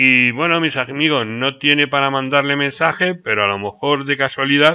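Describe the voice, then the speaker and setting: A man's fairly high voice at a moderate pace, ordinary pitch variation, a normal speaking voice. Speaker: YouTuber. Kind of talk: casual commentary.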